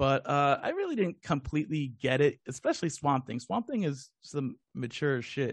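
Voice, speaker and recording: An unremarkable speaking voice from a man, fairly high in pitch, with ordinary pitch variation, a moderate pace, hardly any pauses, and a dry, close sound with no echo. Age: 40s. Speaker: video game podcast host. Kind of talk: casual chat.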